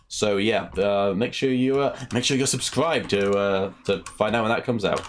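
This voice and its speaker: With a British accent, a man speaks at a moderate pace and fairly low pitch, with ordinary pitch variation, very even loudness and hardly any pauses. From United Kingdom. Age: 20s. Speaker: gaming streamer. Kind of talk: casual live stream Q&A.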